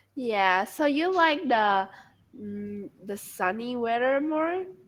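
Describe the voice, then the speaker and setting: Speaking at a very slow pace with an American accent, a woman uses a high pitch, very wide pitch swings, and big swings in loudness. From Vietnam. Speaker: English learner. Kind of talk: casual chat.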